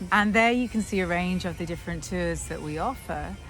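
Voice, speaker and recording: A woman speaks with a Scottish accent. Music plays in the background. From Scotland. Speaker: tour guide. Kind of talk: interview answer.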